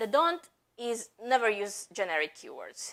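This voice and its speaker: The woman's pitch shows ordinary variation. Her pace is fairly slow. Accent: non-native. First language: not English. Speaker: marketing executive. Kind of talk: conference talk. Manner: halting.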